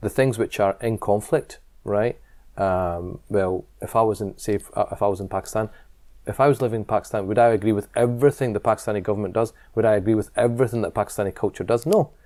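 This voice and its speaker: Very fast and fairly low-pitched, a man with a Scottish accent speaks in a dark, mellow tone with fairly even intonation on a very clean recording with a silent background. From Scotland. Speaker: imam and community leader. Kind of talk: interview. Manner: halting.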